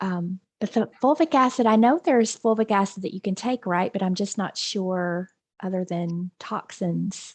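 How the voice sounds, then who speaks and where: Against a quiet background, a woman with a Southern accent speaks with ordinary pitch variation, the sound dry and close with no echo. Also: medium pitch for a woman, moderate pace. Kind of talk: casual chat.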